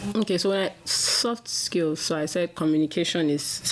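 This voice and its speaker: There is noticeable background noise here. The woman's pitch varies in an ordinary way. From Nigeria. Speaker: business analyst. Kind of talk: casual interview.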